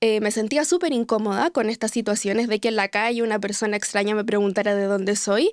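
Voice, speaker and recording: A woman talks at a very fast pace in a fairly high voice with ordinary pitch variation. The recording is very clean, the background silent. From Chile. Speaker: podcast host. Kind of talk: podcast interview.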